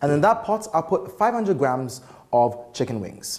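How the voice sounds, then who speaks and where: A man with very wide pitch swings. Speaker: TV cooking show host. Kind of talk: tutorial. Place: kitchen. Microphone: lapel.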